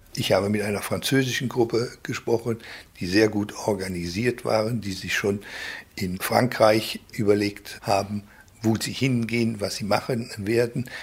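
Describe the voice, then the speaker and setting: A man with a fairly low pitch and a somewhat breathy voice speaks at a fairly slow pace with fairly even intonation. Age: 60s. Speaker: left-wing publisher. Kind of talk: interview.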